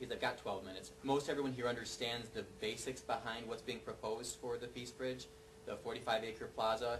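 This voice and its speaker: Speaking with an American accent at a medium pitch, a man keeps a fairly quick pace over noticeable background noise. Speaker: neighborhood preservation advocate. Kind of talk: panel presentation. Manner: fast.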